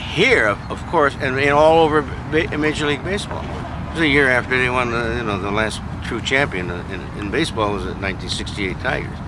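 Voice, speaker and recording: A man with an American accent talks at a fairly quick pace with a medium pitch and lively intonation. There is noticeable background noise and audible room echo. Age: 80s+. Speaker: baseball fan. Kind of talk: casual chat.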